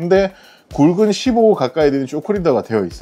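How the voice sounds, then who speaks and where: Music plays in the background as a man speaks very fast. His pitch is fairly high. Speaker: fishing instructor. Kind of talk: casual instructional talk to camera.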